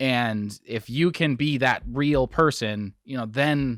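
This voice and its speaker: A normal speaking voice from a man with an American accent, medium pitch and ordinary pitch variation, on a very clean recording with a silent background. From Wisconsin, US. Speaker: bowling podcast host. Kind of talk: casual interview.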